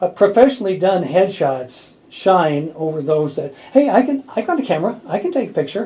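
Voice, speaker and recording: This man speaks in a high pitch. His pitch swings very widely. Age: 70s. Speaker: radio host. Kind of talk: radio interview. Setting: radio studio.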